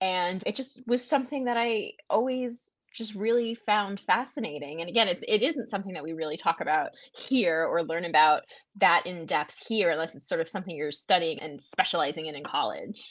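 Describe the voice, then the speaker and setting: An unremarkable speaking voice with an American accent, fairly quick pace, lively intonation and big swings in loudness, against a quiet background. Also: woman, medium pitch for a woman. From USA. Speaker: author and historian. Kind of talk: interview. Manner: conversational, with some stumbles.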